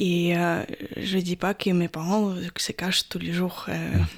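Speaking at a very slow pace, a woman with a Ukrainian accent uses a medium pitch. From Ukraine, Odessa. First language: Ukrainian (speaking French). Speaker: Ukrainian expatriate. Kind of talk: radio interview.

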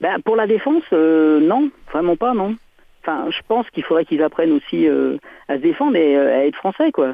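A man with a high voice and lively intonation talks at a moderate pace, leaving long, frequent pauses. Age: 50s. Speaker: caller, former conscript. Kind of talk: radio phone-in.

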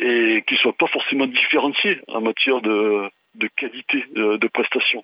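A man of medium pitch with an unremarkable speaking voice, at a fairly slow pace. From Marseille, southern France. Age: 60s. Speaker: human rights activist. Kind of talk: interview. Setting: remote call.

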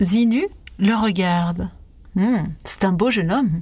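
A woman with a somewhat breathy, medium-pitched voice talks at a very slow pace, her intonation fairly even. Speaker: storyteller. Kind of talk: fairy-tale narration. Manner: calm, narrative, expressive.

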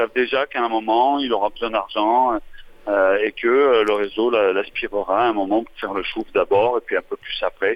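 A man with an unremarkable speaking voice talks at a moderate pace. His pitch is medium and his intonation fairly even. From France, Marseille. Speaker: journalist and filmmaker. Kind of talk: radio interview. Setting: phone call.

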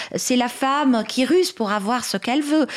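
On a very clean recording with a silent background, a woman speaks with an Arabic accent. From Lebanon. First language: Arabic (speaking French). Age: 40s. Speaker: writer and activist. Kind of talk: radio interview. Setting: radio studio.

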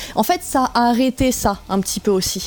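The speaker is a woman with a high pitch. It rises and falls in an ordinary way. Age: 30s. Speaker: metal singer. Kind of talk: radio interview.

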